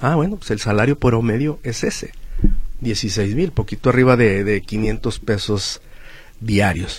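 A man's somewhat breathy, medium-pitched voice at a fairly slow pace, with ordinary pitch variation. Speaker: social security expert, accountant. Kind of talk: radio interview, legal advice. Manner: halting, with repetitions.

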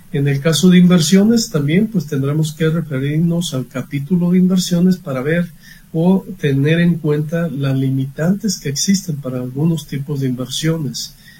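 A man has a normal speaking voice, fairly high in pitch. He keeps a moderate pace with ordinary pitch variation. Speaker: accountant. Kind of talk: expert advice on radio.

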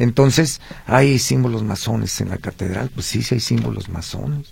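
The man's pace is fairly slow. There is some breathiness in his voice. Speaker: historical researcher. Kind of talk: radio interview.

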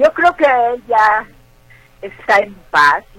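Against noticeable background noise, a woman speaks at a very slow pace with ordinary pitch variation. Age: 60s. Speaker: actress. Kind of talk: interview.

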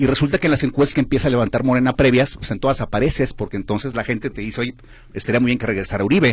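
A man speaks at a very fast pace and medium pitch. His voice is somewhat breathy, with ordinary pitch variation. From Guadalajara, Mexico. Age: 50s. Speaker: politician, former mayor. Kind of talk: radio interview. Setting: radio studio.

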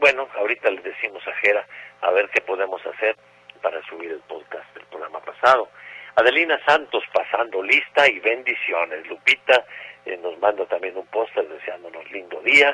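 Noticeable noise fills the background while a man speaks at a moderate speed. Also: big swings in loudness. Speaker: radio host. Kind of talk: radio nostalgia show.

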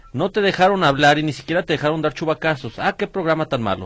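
Very fast speech comes from a man with a fairly high pitch. The recording is very clean, with a silent background. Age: 40s. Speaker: radio co-host. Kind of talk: casual chat.

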